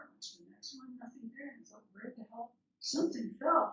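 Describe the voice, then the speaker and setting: The speaker uses vocal fry and keeps a moderate pace. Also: woman. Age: 70s. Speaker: minister. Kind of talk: sermon with personal storytelling.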